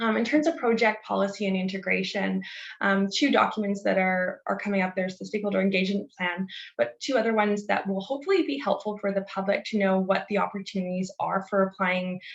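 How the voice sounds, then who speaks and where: Somewhat breathy, a woman talks at a very fast pace. Her medium pitch shows ordinary variation. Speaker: government land use policy presenter. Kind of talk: webinar presentation. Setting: video call.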